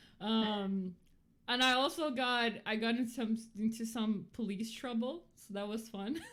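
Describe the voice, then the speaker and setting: The speaker talks at a fairly slow pace in a Portuguese accent. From Brazil. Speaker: podcast co-host. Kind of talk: casual chat. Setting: livestream. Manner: halting.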